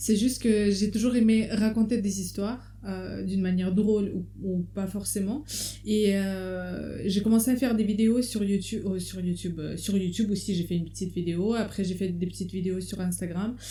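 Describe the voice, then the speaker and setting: Against audible room echo, a woman with a dark, mellow tone and a somewhat breathy, medium-pitched voice speaks at a moderate pace with fairly even intonation. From Russia. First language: Russian (speaking French). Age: 30s. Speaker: stand-up comedian. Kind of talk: casual chat.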